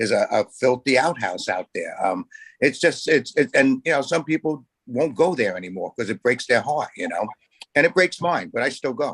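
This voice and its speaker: The sound is dry and close, with no echo. A man speaks fairly quickly. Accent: New York. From Staten Island, New York. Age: 70s. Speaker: community board committee member. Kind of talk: public meeting discussion.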